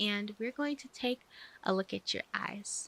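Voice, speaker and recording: Soft-spoken and gentle in tone, a woman talks at a moderate pace with a fairly high pitch, a bright, sharp quality and ordinary pitch variation. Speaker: ASMR roleplay doctor (VTuber). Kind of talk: medical exam roleplay ASMR, personal attention. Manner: soft-spoken, gentle.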